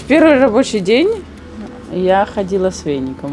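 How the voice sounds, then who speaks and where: A woman talks at a fairly slow pace. Clear music plays in the background. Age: 20s. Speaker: welder. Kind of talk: interview answer. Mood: shy, smiling, modest.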